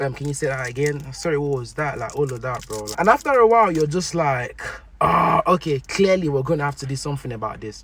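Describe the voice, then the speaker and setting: Lively intonation at a very fast pace, noticeable background noise behind it. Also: man, fairly high pitch for a man. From Nigeria. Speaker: content creator. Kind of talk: casual talk to camera.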